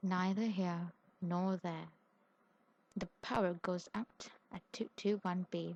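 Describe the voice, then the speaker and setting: A soft-spoken woman talks at a very slow pace with a medium pitch, fairly even intonation and a somewhat breathy quality, in a dry, close sound with no echo. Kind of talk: audiobook reading.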